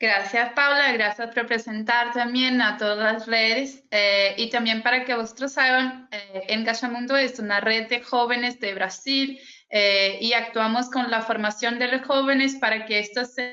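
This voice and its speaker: A woman speaks with a Brazilian accent at a fairly high pitch. Her intonation is monotone and flat, with hardly any pauses. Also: fairly slow pace. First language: Portuguese (speaking Spanish). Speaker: youth climate network coordinator, webinar moderator. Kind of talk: webinar moderation. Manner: halting, many fillers.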